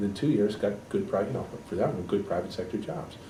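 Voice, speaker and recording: Very fast, lively speech from a man with a fairly low voice, amid noticeable background noise and audible room echo. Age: 60s. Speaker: economist and political candidate. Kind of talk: interview.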